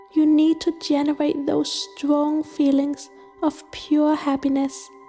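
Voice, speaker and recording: A woman's high-pitched, flat, monotone voice at a fairly slow pace over background music. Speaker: guided meditation narrator. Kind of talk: casual explanatory talk to camera.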